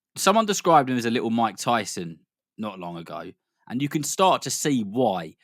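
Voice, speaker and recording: Speaking at a fairly quick pace, a man with a British accent uses a medium pitch. His intonation is lively, and the recording is very clean with a silent background. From Britain. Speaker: boxing commentator, podcast co-host. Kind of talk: casual podcast chat.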